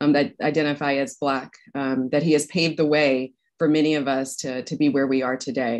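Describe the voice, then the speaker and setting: Against a quiet background, a woman speaks in a very deep, low voice with monotone, flat intonation. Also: fairly quick pace. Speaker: academic host introducing speakers. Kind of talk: event introduction remarks. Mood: warm, appreciative. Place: office. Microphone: video call.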